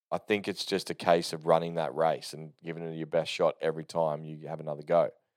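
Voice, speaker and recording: In a very clean recording with a silent background, a man with an Australian accent speaks at a fairly quick pace, his loudness swinging widely. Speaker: podcast host. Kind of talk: casual solo monologue. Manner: unscripted, rambling with fillers.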